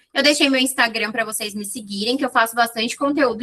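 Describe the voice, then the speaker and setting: Her voice is fairly high, bright and sharp, and this woman keeps her intonation fairly even. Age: 20s. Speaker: psychologist. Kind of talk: online talk to audience, lecture. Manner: informal, chatty.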